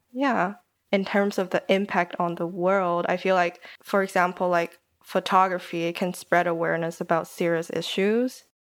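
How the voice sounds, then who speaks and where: A woman with a Taiwanese accent at a moderate pace, fairly even intonation, in a very clean recording with a silent background. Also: medium pitch for a woman. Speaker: podcaster and design student. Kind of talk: casual interview chat.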